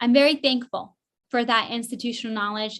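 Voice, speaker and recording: A woman with an American accent speaks in a normal speaking voice at a fairly high pitch. Her intonation is fairly even and her pace moderate. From Northern California (rural). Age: 30s. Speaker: political candidate. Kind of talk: candidate forum answer.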